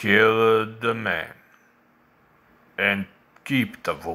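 A man's put-on character voice at a medium pitch and a fairly slow pace. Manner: flat monotone, deadpan, lifeless.

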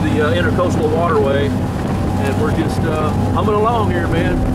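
Loud background noise behind a man's moderately paced voice. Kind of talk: casual vlog chat. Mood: relaxed and pleased. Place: boat.

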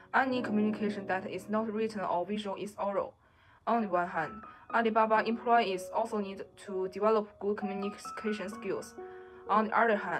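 Over clear music in the background, a woman speaks at a fairly quick pace with fairly even intonation. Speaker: presenter. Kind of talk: class presentation. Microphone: webcam.

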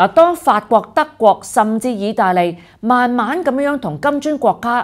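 Over a quiet background, a woman speaks at a fairly slow pace with very wide pitch swings. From Hong Kong. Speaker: political commentary host. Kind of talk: scripted news commentary. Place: studio.

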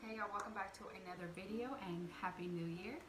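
Fairly low-pitched female speech with fairly even intonation over noticeable background noise. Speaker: home vlogger. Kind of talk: casual vlog chat. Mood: warm, chatty. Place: home room. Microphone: phone near.

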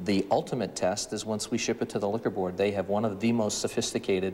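Against light background noise, a man talks with a fairly low pitch and fairly even intonation. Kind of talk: interview answer. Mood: calm, businesslike. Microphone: lapel.

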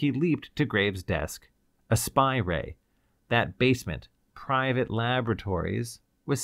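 The background is quiet as an unforced reading voice goes along, its pitch varying in an ordinary way.

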